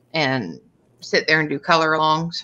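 Over light background noise, a woman with a Canadian accent speaks at a fairly low pitch in a bright, sharp tone with ordinary pitch variation. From Canada. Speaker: coloring channel co-host. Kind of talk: casual chat. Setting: video call. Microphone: video call.

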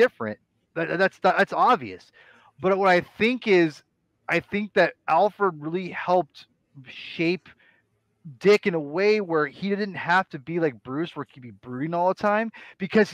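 A man with a high pitch talks at a fairly slow pace with long, frequent pauses, his dry sound carrying no echo against a quiet background. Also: ordinary pitch variation. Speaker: podcast co-host. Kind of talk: casual discussion commentary. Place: home room. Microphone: headset.

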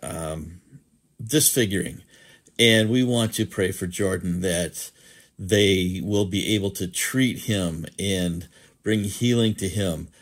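Against a quiet background, a man with a very deep, low pitch and a warm tone speaks at a fairly slow pace with ordinary pitch variation. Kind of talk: fervent prayer, spoken to God. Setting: online video, evening. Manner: earnest, reverent, heartfelt, slow and pausing; warm, pastoral, hesitant with filler words. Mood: earnest, compassionate. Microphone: phone near.

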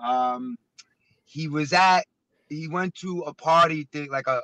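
A man speaks with a New York accent in a bright, sharp tone. The sound is dry, with no echo. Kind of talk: casual chat. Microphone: video call.

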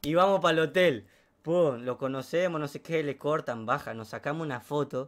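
Here a man speaks with a fairly high pitch. His pitch variation is ordinary. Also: moderate pace. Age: 20s. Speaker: streamer and hairdresser; interviewee. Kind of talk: casual interview. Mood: relaxed, chatty. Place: home room. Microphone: studio mic.

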